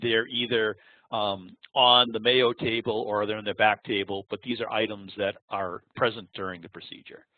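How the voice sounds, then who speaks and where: With a Boston accent, a man speaks at a moderate pace, his fairly low voice flat and monotone. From Boston area, US. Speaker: applications engineer. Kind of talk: webinar presentation. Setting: online webinar. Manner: halting, with many fillers.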